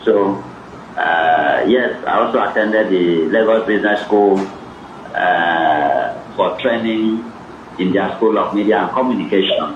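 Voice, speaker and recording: A man talks in a Nigerian accent at a very even loudness. There is audible room echo and noticeable background noise. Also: fairly slow pace. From Nigeria, Cross River. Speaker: author and academic. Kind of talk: interview at a book event.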